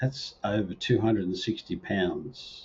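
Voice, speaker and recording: Somewhat breathy and fairly slow, a man with an Australian accent speaks at medium pitch with fairly even intonation. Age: 60s. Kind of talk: personal video talk to camera.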